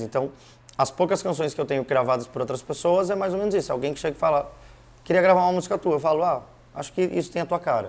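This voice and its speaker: The pace of this male speaker is very fast. Pitch rises and falls in an ordinary way. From Curitiba, southern Brazil. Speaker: musician. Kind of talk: casual interview chat.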